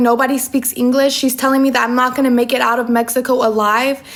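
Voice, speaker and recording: A woman talks at a very fast pace in a high pitch. Her intonation is monotone and flat over noticeable background noise. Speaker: social media personality. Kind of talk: storytime.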